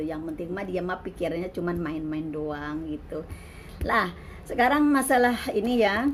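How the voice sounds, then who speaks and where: A woman with a fairly low pitch and ordinary pitch variation at a moderate pace, amid audible room echo and noticeable background noise. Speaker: migrant domestic worker and vlogger. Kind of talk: casual vlog monologue.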